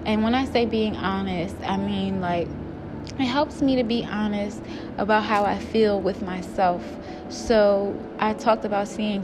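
Over noticeable background noise and audible room echo, the speaker talks at a moderate pace with fairly even intonation. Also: woman. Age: 20s. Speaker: podcast host. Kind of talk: personal monologue. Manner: casual, hesitant with fillers.

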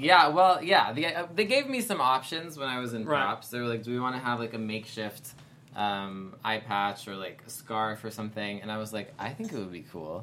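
Lively intonation from a man with a normal speaking voice, medium in pitch and fairly quick in pace. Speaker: actor. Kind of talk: casual chat. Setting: studio.

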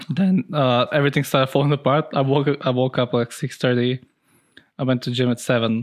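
With a normal speaking voice of medium pitch, a man talks at a fairly quick pace with fairly even intonation over a quiet background. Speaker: podcast co-host. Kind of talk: casual chat. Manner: casual, profane.

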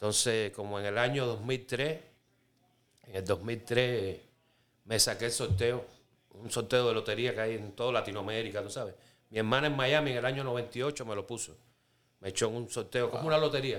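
At a moderate pace broken by long, frequent pauses, a man with a Cuban accent speaks at a medium pitch with ordinary pitch variation. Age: 50s. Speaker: Cuban immigrant sharing life story. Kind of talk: testimony. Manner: casual, conversational.

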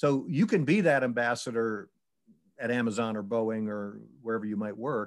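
Over a very clean recording with a silent background, a man speaks in a normal speaking voice at medium pitch, a moderate pace and ordinary pitch variation. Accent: American. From Syracuse, New York, US. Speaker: retired charity executive and author. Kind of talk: interview testimony.

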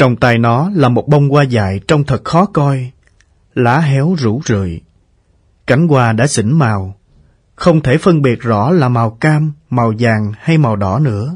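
Very slow and somewhat breathy, a man of medium pitch speaks with lively intonation and very even loudness. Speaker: audiobook narrator. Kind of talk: reading aloud.

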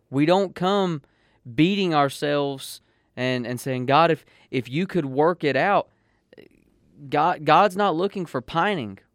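A man with a Southern US accent talks at a fairly slow pace with a fairly high pitch, ordinary pitch variation and long, frequent pauses, in a dry, close sound with no echo on a very clean recording with a silent background. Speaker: pastor. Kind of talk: devotional radio talk, casual chat.

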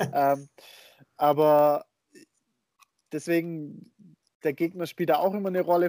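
A man's dark, mellow tone in flat, monotone intonation, with a dry, close sound and no echo. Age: 20s. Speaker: football podcast co-host. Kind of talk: casual chat. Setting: remote call.

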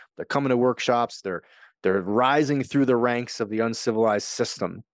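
With an American accent and an ordinary speaking voice, a man talks at a fairly quick pace and medium pitch with fairly even intonation, recorded dry and close with no echo against a quiet background. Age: 40s. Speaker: podcast host and author. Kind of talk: solo podcast monologue.

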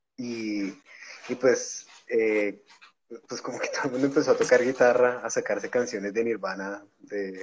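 A man speaking at a moderate pace. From Colombia, Bogotá. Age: 30s. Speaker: record label founder and punk musician. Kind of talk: casual chat.

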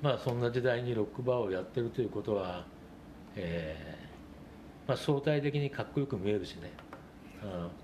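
A man with a medium pitch speaks with lively intonation and long, frequent pauses. Noticeable background noise runs underneath. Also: fairly quick pace. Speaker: rock bar owner and essayist. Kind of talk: casual interview.

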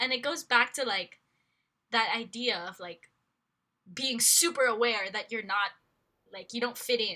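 A woman with an American accent, a bright, sharp tone, and a fairly high pitch, with big swings in loudness and long, frequent pauses. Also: ordinary pitch variation, fairly slow pace. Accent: American-sounding English. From Philippines. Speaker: podcast co-host. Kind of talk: casual chat. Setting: remote recording.

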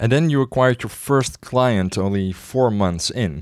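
Recorded very cleanly against a silent background, with a dry, close sound and no echo, a man with an ordinary speaking voice speaks at a moderate pace. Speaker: podcast host. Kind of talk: interview.

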